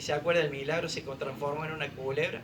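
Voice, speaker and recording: A man in a Rioplatense accent at a very fast pace, with audible room echo and noticeable background noise. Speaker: preacher. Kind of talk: sermon.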